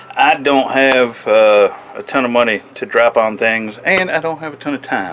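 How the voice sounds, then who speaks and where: This man talks at a moderate pace with lively intonation. There is noticeable background noise. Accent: American. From Michigan, US. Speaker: blacksmith and knife maker. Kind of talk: casual workshop commentary. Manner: casual, many fillers and restarts.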